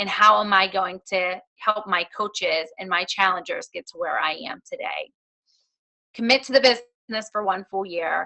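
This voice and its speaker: The woman's pace is fairly slow and her pitch medium. She has a plain, everyday voice with ordinary pitch variation. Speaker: fitness business coach, guest speaker. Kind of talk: motivational talk on a team call. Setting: conference phone call. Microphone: connection issues.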